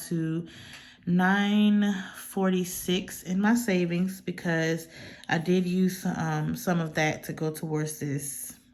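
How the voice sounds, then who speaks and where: A woman's medium-pitched voice with an American accent, fairly even intonation and a very slow pace. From North Carolina, USA. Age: 30s. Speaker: budgeting YouTuber. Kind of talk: casual talk to camera.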